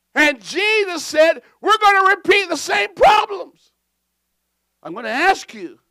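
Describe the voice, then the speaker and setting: A man talks in an extremely high pitch with a bright, sharp tone. His voice is raised and projected, and his pace is fairly slow. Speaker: pastor. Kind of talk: sermon. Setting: church with congregation. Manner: deliberately slow for clarity.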